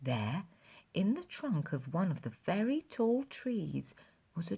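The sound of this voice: The recording presents an unforced reading voice.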